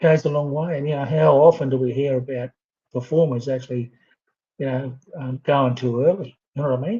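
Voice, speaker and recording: This man's voice is fairly high and somewhat breathy, with an Australian accent. He speaks at a fairly quick pace. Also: fairly even intonation. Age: 60s. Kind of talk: casual chat. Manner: halting.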